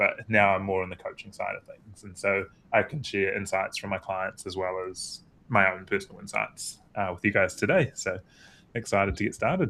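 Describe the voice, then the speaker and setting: A man with a New Zealand accent talks at a fairly quick pace, his fairly low voice bright and sharp in tone, with big swings in loudness. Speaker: performance coach. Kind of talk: panel discussion.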